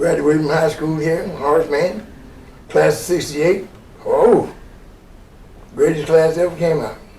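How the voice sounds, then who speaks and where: A man with an Arkansas accent, fairly high-pitched and fairly even in intonation, at a fairly slow pace with long, frequent pauses, amid noticeable background noise and audible room echo. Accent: US Southern (Arkansas). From Little Rock, Arkansas. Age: 70s. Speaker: Vietnam veteran. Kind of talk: interview recollection.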